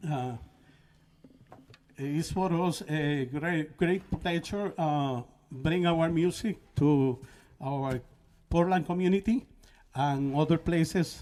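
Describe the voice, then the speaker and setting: A man with a Spanish accent speaks at a very slow pace with a fairly high pitch, ordinary pitch variation, and long, frequent pauses. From Puerto Rico. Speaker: band leader and musician. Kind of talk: talk between songs at a concert. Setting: live-streamed concert at a college. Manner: halting, many fillers.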